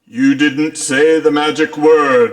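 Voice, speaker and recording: A man puts on a cartoonish character voice. It is booming and loud. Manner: pompous, grandiose.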